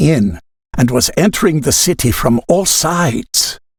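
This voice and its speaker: A man with very wide pitch swings and vocal fry. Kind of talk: dramatic reading of diary entries.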